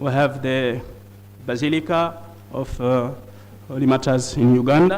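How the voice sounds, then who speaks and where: Against noticeable background noise and audible room echo, a man speaks at a very slow pace with ordinary pitch variation. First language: not English. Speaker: conference speaker on liturgy. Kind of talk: conference presentation. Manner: halting.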